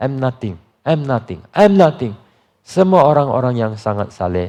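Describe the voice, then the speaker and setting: The intonation here is lively. It comes from a man with a dark, mellow tone. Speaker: pastor. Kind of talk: sermon. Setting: church.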